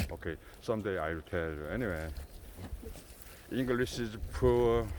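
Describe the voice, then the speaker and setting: Very deep, low male voice in a Korean accent, with very wide pitch swings and audible room echo. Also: moderate pace. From South Korea. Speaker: goat farmer. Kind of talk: casual vlog talk. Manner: halting.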